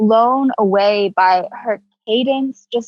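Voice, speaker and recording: A woman speaks in a somewhat breathy voice. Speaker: rapper. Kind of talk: casual chat. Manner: casual, many fillers.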